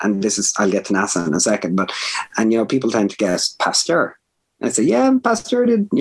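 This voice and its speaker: A man with a Dublin accent talks at a very fast pace. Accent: Dublin Irish. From Ireland, north Dublin. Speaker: food science professor. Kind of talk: interview conversation.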